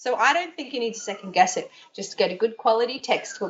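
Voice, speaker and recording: Talking at a fairly quick pace, a woman speaks in an Australian accent. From Australia, Brisbane. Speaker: yoga teacher and Chinese tutor. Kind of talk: interview. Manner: conversational, with fillers and restarts.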